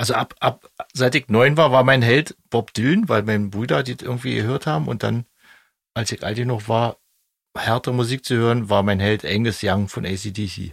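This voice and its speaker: A man's medium-pitched voice at a moderate pace, with ordinary pitch variation, dry and close with no echo, on a very clean recording against a silent background. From East Germany. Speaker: band member and podcast host. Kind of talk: casual chat.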